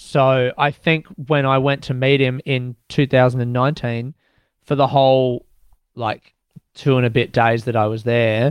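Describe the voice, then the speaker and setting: In an Australian accent, a man talks at a moderate pace and medium pitch. His intonation is monotone and flat, in a dry, close sound with no echo. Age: 30s. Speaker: stand-up comedian. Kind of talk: casual interview with storytelling.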